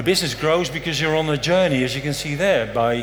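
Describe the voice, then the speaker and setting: A man at a fairly quick pace, amid audible room echo and noticeable background noise. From Netherlands, raised mostly abroad. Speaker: conference speaker, compliance strategy lead. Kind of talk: conference talk. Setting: stage with audience, filmed. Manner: casual, joking.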